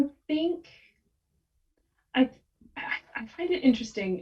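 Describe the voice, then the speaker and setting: A woman with an American accent speaks at a very slow pace, her intonation lively. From United States. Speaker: copywriter. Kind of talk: podcast interview. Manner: animated.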